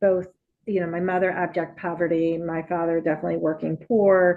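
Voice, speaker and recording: Talking at a fairly quick pace, a woman uses a monotone, flat intonation at a fairly low pitch. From Puerto Rico. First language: Spanish. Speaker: nonprofit executive and former deputy mayor. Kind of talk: interview. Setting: podcast.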